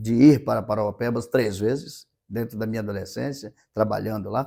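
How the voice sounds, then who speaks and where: A man's dark, mellow tone with vocal fry and fairly even intonation, on a very clean recording with a silent background. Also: moderate pace. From Maranhão, northeastern Brazil. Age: 50s. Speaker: city council president. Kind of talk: interview. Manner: halting, repeats words.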